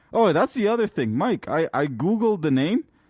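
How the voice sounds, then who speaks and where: Recorded with a dry, close sound and no echo, a man speaks at a moderate pace with very wide pitch swings. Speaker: podcast host. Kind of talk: casual chat. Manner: animated; halting.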